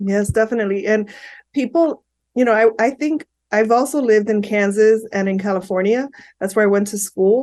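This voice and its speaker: A woman with a Miami accent, fairly high in pitch, at a fairly quick pace with ordinary pitch variation. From Miami, Florida (Hialeah). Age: 50s. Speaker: psychotherapist. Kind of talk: interview.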